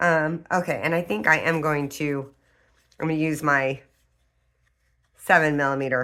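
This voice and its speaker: With long, frequent pauses, a woman speaks at a very deep, low pitch in a bright, sharp tone and fairly even intonation, the recording very clean with a silent background. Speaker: crafting tutorial creator. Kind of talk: tutorial. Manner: casual, hesitant with many fillers.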